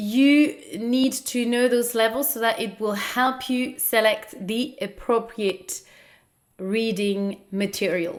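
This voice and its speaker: The speech moves at a very slow pace. It carries a non-native accent. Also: woman. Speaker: podcast host. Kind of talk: educational podcast talk. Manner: hesitant with fillers.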